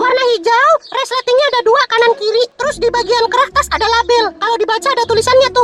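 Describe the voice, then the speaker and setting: Over music in the background, a female-sounding cartoonish character voice with a dramatic tone rushes along at a fairly quick pace with hardly any pauses, pitched extremely high. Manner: dramatic, flustered.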